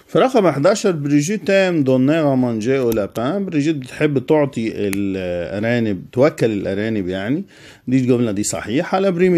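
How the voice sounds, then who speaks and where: In an Egyptian accent, a man speaks at a moderate pace and medium pitch in a dark, mellow tone. His pitch swings very widely, and the background is quiet. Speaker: French teacher. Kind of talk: tutorial.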